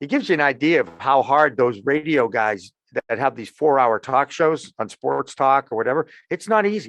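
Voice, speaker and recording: A man with an American accent talks at a moderate pace in a fairly high pitch, his tone animated and his intonation lively, the sound dry and close with no echo. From Massachusetts. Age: 60s. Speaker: sports journalist and cannabis media founder. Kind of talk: podcast interview. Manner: animated storytelling.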